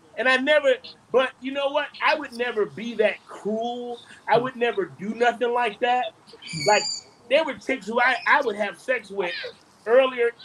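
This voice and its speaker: The speech holds a moderate pace with ordinary pitch variation and long, frequent pauses. Noticeable background noise sits behind it. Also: man, extremely high pitch for a man. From Detroit, Michigan. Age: 50s. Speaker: comedian and actor. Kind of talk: casual interview chat.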